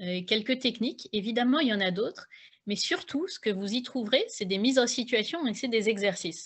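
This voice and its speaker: Her pitch is fairly high, and the woman talks fairly slowly. The voice has a somewhat breathy quality, and its pitch shifts in an ordinary way. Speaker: author and public speaking coach. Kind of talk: online talk on public speaking. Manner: hesitant, many fillers.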